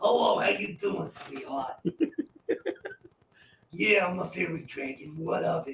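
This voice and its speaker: A man puts on a raspy, high-pitched character voice with a Jersey accent. He talks at a fairly slow pace, with long, frequent pauses. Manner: sassy, cocky.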